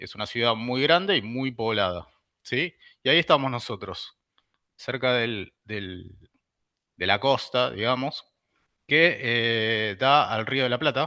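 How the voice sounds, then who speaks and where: Against a quiet background, a man with medium pitch and a bright, sharp tone talks at a very slow pace with ordinary pitch variation and long, frequent pauses. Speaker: university researcher and lecturer. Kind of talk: lecture. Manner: hesitant, many fillers.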